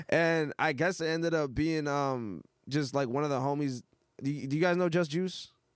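A man with an American accent speaks at a moderate pace in an ordinary speaking voice, his fairly high pitch and fairly even intonation held at a very even loudness. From Massachusetts North Shore (born Miami, Hialeah). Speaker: rapper. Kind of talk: casual chat.

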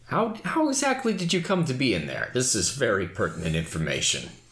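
Using a put-on character voice, a man talks at a fairly quick pace. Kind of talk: comic overacting. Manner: pompous, smooth, long-winded.

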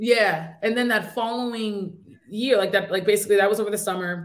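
Fairly even intonation and a moderate pace mark this speaker's delivery, given in a normal speaking voice. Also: woman. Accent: American. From upstate New York. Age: 30s. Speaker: entrepreneur. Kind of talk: interview.

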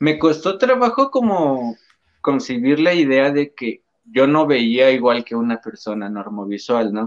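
Using lively intonation, an ordinary speaking voice moves at a fairly slow pace. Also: man, medium pitch for a man. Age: 20s. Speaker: paralympic archer. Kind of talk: interview.

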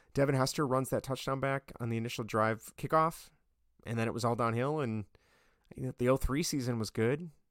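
A man with an American accent talks at a fairly quick pace in a medium pitch, using a plain, everyday voice with fairly even intonation. The recording is very clean with a silent background, and the sound is dry and close with no echo. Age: 30s. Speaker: podcast host. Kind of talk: casual solo sports commentary.

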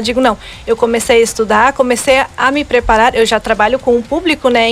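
A high-pitched woman at a fairly quick pace, with noticeable background noise. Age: 20s. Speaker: beautician and pageant candidate. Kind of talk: radio interview. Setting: radio studio.

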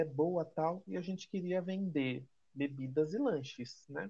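A man with an ordinary speaking voice, fairly high in pitch, with ordinary pitch variation. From Brazil, Salvador (Bahia). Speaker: guest friend. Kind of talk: casual chat.

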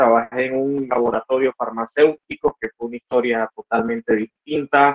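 With a Nicaraguan accent, a man speaks at a medium pitch and a moderate pace. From Nicaragua, Estelí (north). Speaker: computer engineer and entrepreneur. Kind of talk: interview conversation. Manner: halting, frequent repetitions.

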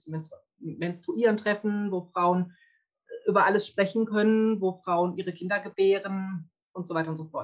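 A woman with a plain, everyday voice speaks at a moderate pace. Her pitch is medium and her intonation fairly even. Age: 30s. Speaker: women's circle facilitator. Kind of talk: interview. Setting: video call.

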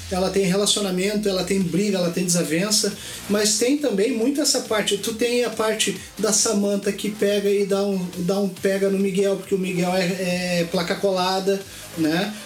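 A man with a high pitch talks at a moderate pace with ordinary pitch variation. Noticeable background noise and audible room echo fill the recording. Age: 40s. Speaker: podcast guest. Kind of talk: casual chat.

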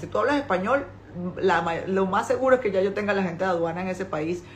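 Audible room echo carries the medium-pitched voice of a woman with a Venezuelan accent and ordinary pitch variation. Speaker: importing business owner and author. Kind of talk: live stream talk to followers.

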